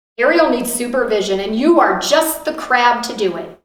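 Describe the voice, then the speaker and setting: Using a put-on character voice, a woman speaks high and stern at a moderate pace, her intonation lively and her loudness swinging widely, with a slight echo. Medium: read story. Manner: stern, commanding.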